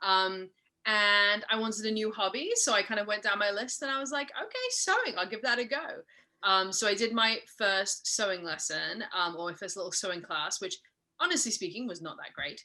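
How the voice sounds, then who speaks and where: Woman with a slight Mid-Atlantic accent, fairly high pitch, bright, sharp tone, ordinary pitch variation and moderate pace. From Scotland. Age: 40s. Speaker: sewing pattern business owner. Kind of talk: podcast interview.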